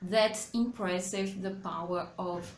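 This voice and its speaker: A woman speaks very slowly in a somewhat breathy voice with fairly even intonation, with audible room echo around her. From Brazil. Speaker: English teacher. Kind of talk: tutorial. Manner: halting.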